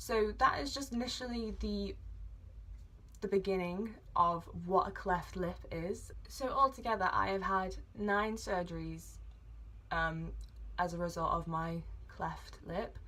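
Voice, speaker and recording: Long, frequent pauses break up this speech in an English accent, and room echo is audible. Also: woman, fairly slow pace. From England. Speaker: vlogger. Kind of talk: personal vlog, medical history. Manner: hesitant with fillers.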